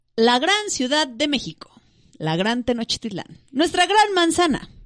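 A woman at a fairly slow pace. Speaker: podcast host. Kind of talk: reading aloud; casual chat.

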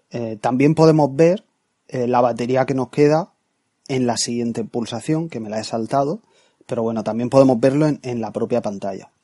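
A man's medium-pitched voice with a dark, mellow tone, ordinary pitch variation and a moderate pace, in a dry, close sound with no echo. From Spain, Murcia. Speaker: tech podcast host. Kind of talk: product review monologue.

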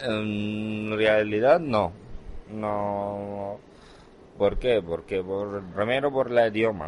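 A fairly low-pitched male voice with ordinary pitch variation at a very slow pace. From Syria, Hama. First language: Arabic (speaking Spanish). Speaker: immigrant shop worker. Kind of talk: recorded interview. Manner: hesitant, non-native phrasing.

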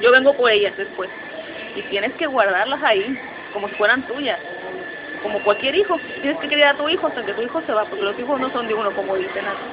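At a very fast pace broken by long, frequent pauses, a woman speaks at a high pitch with lively intonation. Audible room echo and noticeable background noise surround her. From Mexico City. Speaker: migrant, graphic designer, mother. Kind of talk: interview, personal story. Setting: recorded in a public space, in person.

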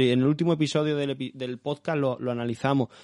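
A plain, everyday voice, a man speaks at medium pitch with fairly even intonation. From Málaga, southern Spain. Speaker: podcast host. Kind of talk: interview.

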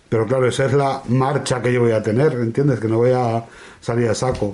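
A man speaks at a medium pitch. Noticeable background noise runs beneath his voice. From Spain, La Mancha. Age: 40s. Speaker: podcast host. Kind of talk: casual chat.

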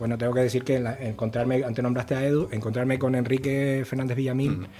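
The pitch of this man's voice sits at a medium level. He talks at a very fast pace. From Canary Islands (Gran Canaria). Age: 50s. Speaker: jazz trumpeter. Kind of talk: interview.

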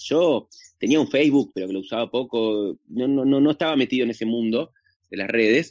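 With an Argentine accent, a man speaks with ordinary pitch variation. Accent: Rioplatense Argentine Spanish. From Argentina. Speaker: actor and social media comedian. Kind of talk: casual interview chat. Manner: halting, many fillers and repetitions.

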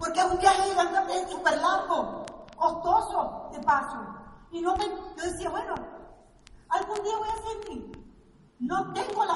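Someone speaks at a fairly slow pace with long, frequent pauses and ordinary pitch variation, in a room with audible echo. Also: woman. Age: 50s. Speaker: network marketing speaker. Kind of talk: motivational talk. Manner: animated.

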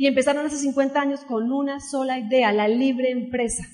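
A woman speaks at a moderate pace in a high, animated voice. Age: 30s. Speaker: network marketing speaker. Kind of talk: motivational talk.

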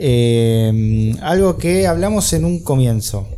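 A man with a Rioplatense accent talks in a space with audible room echo and noticeable background noise. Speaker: podcast host. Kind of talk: interview. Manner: halting.

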